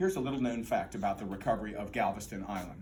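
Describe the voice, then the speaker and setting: With an American accent, a man talks at medium pitch with vocal fry and lively intonation, and the room echo is audible. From Texas, Houston. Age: 60s. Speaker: political candidate, former mayor. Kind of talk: campaign speech. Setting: political forum with audience.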